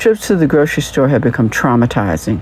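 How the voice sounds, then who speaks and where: The speaker is a woman with a very deep, low pitch. Noticeable background noise runs underneath. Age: 60s. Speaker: podcast host and journalist. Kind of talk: scripted narration.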